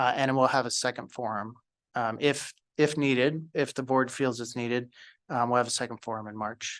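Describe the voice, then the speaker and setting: Against a quiet background, a man with a plain, everyday voice talks at a moderate pace, with medium pitch and fairly even intonation. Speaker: school district communications staff. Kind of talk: presentation at a school board meeting. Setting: school board meeting.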